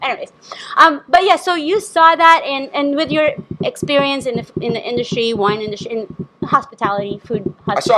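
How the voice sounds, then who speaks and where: Very wide pitch swings mark the fairly quick speech, heard over noticeable background noise. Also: woman, high pitch for a woman. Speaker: podcast host. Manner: gets excited, voice becomes shrieky.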